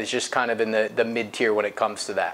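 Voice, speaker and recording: Light background noise sits behind the recording. A man talks with an American accent. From US Midwest, Akron, Ohio; Ohio. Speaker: payment processing specialist. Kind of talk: interview. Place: office.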